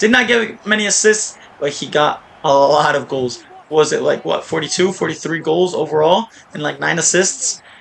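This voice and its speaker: The intonation is lively and the tone animated. Noticeable background noise runs underneath. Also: man, fairly high pitch for a man, moderate pace. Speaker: gaming video creator. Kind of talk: gameplay commentary.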